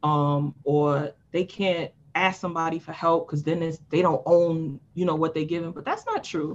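A woman with a fairly low pitch speaks at a moderate pace with fairly even intonation and hardly any pauses. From New York City, Harlem. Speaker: life coach. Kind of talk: casual chat.

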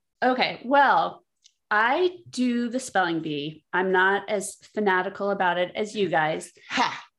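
At a fairly slow pace, a woman of medium pitch talks in an ordinary speaking voice, with ordinary pitch variation. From not from Philadelphia. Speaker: guest game player. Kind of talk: casual chat.

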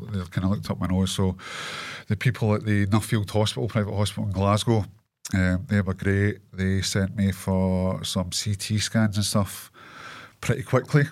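In a Scottish accent, a man speaks at a moderate pace with fairly low pitch and fairly even intonation, captured in a very clean recording with a silent background. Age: 40s. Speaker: clothing brand owner and cancer patient. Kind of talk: casual interview. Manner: talkative.

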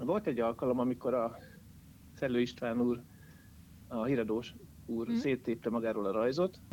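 With a dark, mellow tone and medium pitch, a man speaks at a moderate pace, using ordinary pitch variation, very even loudness and long, frequent pauses. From Hungary, Jászberény. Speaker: caricaturist. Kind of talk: interview. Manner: halting.

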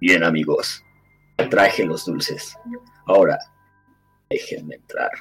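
A man puts on a raspy character voice, speaking fairly slowly with long, frequent pauses. Faint music plays in the background. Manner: frightening.

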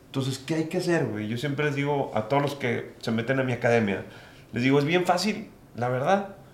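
A man talks at a fairly quick pace with a fairly high pitch and lively intonation. Audible room echo and noticeable background noise are present. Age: 30s. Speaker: real estate developer. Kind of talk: interview. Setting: office.

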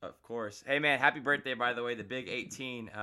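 With an American accent and a normal speaking voice, the speaker goes at a fairly quick pace with ordinary pitch variation. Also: man. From Florida. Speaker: podcast host. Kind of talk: casual interview.

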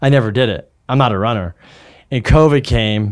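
A man's voice at a medium pitch comes through a very clean recording with a silent background. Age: 40s. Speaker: mortgage lender. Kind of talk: casual chat. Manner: animated.

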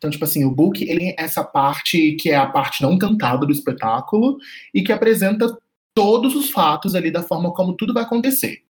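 Fairly quick male speech, high in pitch and swinging very widely across it. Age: 20s. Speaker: podcast co-host, art director. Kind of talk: casual chat.

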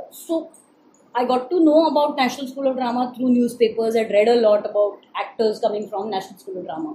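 A woman's high voice rises and falls in lively fashion as noticeable noise carries on behind her. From Maharashtra, India. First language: Marathi (speaking Hindi). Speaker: stage actor. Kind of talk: interview conversation.

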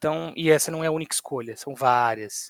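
A man with a normal speaking voice and a fairly high pitch shows ordinary pitch variation in a dry, close sound with no echo. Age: 20s. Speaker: podcast co-host. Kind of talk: casual chat.

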